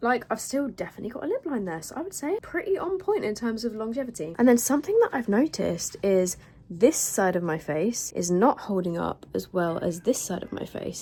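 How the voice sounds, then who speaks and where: Fairly quick speech from a woman with a fairly high pitch and very wide pitch swings, over noticeable background noise. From southern England. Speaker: beauty vlogger. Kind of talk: casual vlog review. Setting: home, windows open.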